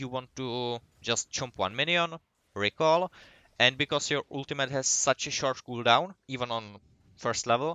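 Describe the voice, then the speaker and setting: This man speaks in a normal speaking voice at a moderate pace, his pitch medium with ordinary pitch variation. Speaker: gaming guide creator. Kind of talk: tutorial.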